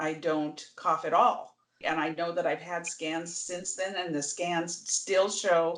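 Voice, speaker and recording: This woman has an ordinary speaking voice with a fairly low pitch. She talks at a fairly slow pace. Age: 60s. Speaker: patient sharing her illness story. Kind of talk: testimony. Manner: conversational, with fillers.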